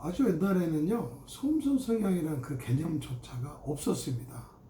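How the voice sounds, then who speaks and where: A man's fairly high voice with very wide pitch swings at a moderate pace, plus audible room echo and noticeable background noise. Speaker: gynecologist. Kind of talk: medical explainer talk. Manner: casual with fillers.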